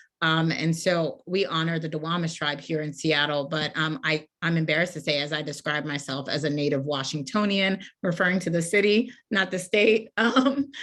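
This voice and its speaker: A woman's fairly low-pitched, unremarkable speaking voice at a moderate pace, with ordinary pitch variation and hardly any pauses. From Washington, D.C. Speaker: author. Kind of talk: casual conversation.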